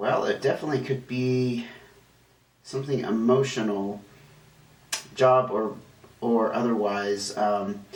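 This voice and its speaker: Speech at a fairly slow pace, broken by long, frequent pauses, plays over noticeable background noise. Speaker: tarot reader. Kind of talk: tarot reading. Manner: halting, with fillers.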